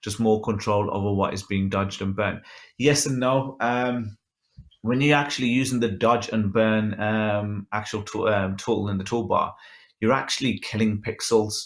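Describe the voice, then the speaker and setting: A man with a Birmingham accent speaks at a moderate pace in a fairly low pitch. His intonation stays fairly even against a quiet background. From England. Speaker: photographer and photo editing instructor; photo editing instructor. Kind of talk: tutorial with live Q and A. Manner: casual, many filler ums. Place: home room. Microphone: webcam.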